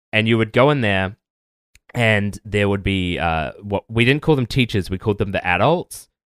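A man with an ordinary speaking voice, fairly low-pitched, at a moderate pace with ordinary pitch variation, recorded very cleanly against a silent background with a dry, close sound and no echo. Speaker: podcaster. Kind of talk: casual chat.

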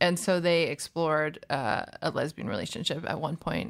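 Speaking at a fairly quick pace, a woman uses a very deep, low pitch with vocal fry. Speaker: podcast host. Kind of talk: interview podcast conversation.

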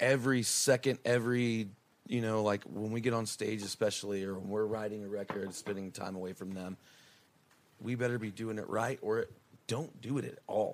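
Fairly low in pitch, a man with an unremarkable speaking voice talks at a moderate pace with fairly even intonation. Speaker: rock band musician. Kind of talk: casual chat. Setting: hotel room.

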